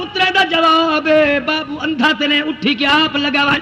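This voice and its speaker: Over noticeable background noise, a man uses a raised, projected voice in a dramatic tone. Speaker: Islamic preacher. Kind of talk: religious sermon delivered to an audience. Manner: emotional, dramatic storytelling.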